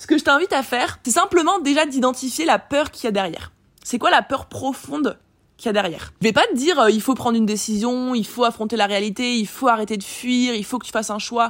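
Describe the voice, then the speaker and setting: A woman speaks at a very fast pace. Her voice is high-pitched with lively intonation. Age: 20s. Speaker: business coach and podcaster. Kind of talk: solo monologue, unscripted personal reflection. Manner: casual, slangy, filler-heavy.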